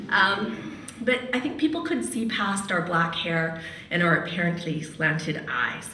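Lively in intonation, a woman with a fairly low pitch speaks amid light background noise and audible room echo. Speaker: radio host and storyteller; radio host, storyteller. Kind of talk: personal storytelling at a live event. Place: hall.

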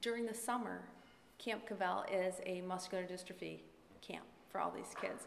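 Over light background noise, a woman speaks fairly quickly in a flat monotone. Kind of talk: public remarks at a meeting. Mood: proud, warm. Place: meeting room. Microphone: podium.

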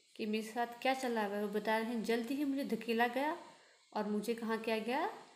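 Plain reading aloud. The intonation stays fairly even.

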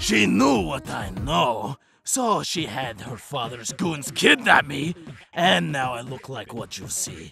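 A man's cartoonish character voice, medium in pitch with big pitch swings, bright and sharp in tone with a slightly husky edge and vocal fry, slow and with few pauses, over faint music in the background.

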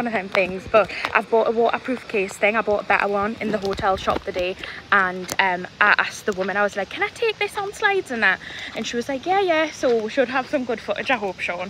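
At a fairly quick pace, a woman speaks with ordinary pitch variation in a dry sound with no echo and light background noise. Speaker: vlogger. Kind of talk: casual vlog chat. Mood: excited, upbeat. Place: street. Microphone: phone near.

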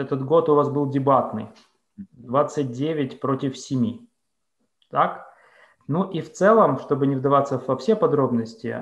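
The speech moves at a very slow pace. Audible room echo surrounds it, over a quiet background. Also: man. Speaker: moderator. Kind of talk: moderated discussion. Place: home room. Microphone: video call.

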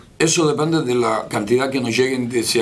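Over noticeable background noise and audible room echo, a man speaks at medium pitch and a fairly quick pace. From Cuba, rural Santiago de Cuba province. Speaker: opposition leader. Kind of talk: interview.

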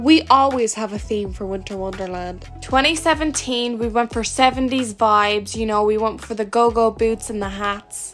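Over music in the background, a woman with a fairly high voice speaks at a moderate pace with ordinary pitch variation and hardly any pauses. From Ireland. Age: young. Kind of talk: casual talk to camera.

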